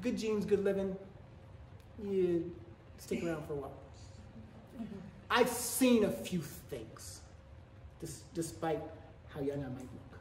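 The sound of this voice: A man speaks slowly at a high pitch with ordinary pitch variation and a slightly mellow tone, all in a room with strong echo.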